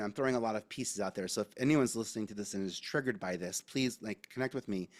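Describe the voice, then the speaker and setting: With an American accent, a man talks at a fairly quick pace in a dry, close sound with no echo, on a very clean recording with a silent background. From New York, Staten Island. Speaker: media advisor. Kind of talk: candid interview conversation. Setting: podcast recording. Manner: animated, expressive intonation; halting, many restarts.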